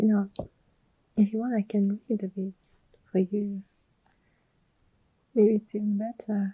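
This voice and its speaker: With a non-native accent, a woman speaks at a medium pitch and a fairly slow pace, her somewhat breathy voice dark and mellow in tone, monotone and flat, broken by long, frequent pauses, in a dry, close sound with no echo. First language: not English. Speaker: ASMR creator. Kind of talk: ASMR personal attention. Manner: whispering; soft-spoken.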